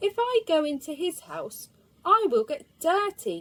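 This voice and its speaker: A squeaky put-on character voice at a fairly slow pace with very wide pitch swings, in a dry, close sound with no echo. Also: woman, extremely high pitch for a woman. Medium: read story.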